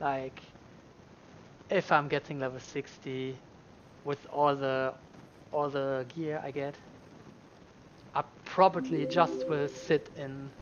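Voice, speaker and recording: With a German accent and a fairly high pitch, a man speaks at a very slow pace, leaving long, frequent pauses. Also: ordinary pitch variation. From Germany. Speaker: video game streamer. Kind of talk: live gaming stream chat. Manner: halting.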